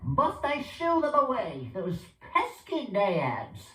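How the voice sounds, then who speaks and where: In a put-on character voice with a high pitch, the speaker goes at a very slow pace with a slight echo. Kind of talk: mock-archaic stage speech. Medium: stage play.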